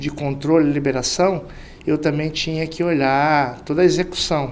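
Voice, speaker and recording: A man speaks against noticeable background noise. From Mato Grosso, interior Brazil. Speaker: sales director. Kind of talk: interview podcast. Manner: hesitant fillers.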